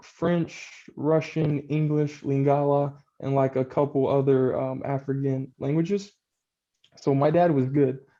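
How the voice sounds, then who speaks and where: With an American accent, a man talks fairly slowly in a dark, mellow tone, his fairly high pitch held in a monotone, flat intonation. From Texas. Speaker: real estate investor, former basketball player. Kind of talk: interview. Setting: video call.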